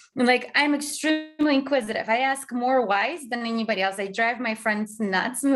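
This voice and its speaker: A woman's fairly high voice in a non-native accent, with ordinary pitch variation. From Azerbaijan. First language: not English. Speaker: tech company founder and CEO. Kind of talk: interview conversation. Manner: fast.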